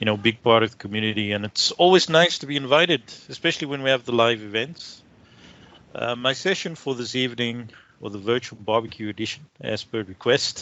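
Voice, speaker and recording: A man with a South African accent speaks at medium pitch and a fairly quick pace, with ordinary pitch variation. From South Africa, Cape Town. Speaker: IT consultant and trainer. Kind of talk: tech talk presentation.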